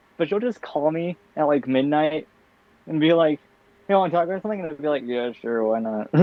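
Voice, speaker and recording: A tired-sounding man at a fairly quick pace, with lively intonation. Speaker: podcast co-host. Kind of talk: casual chat. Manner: low energy, tired delivery.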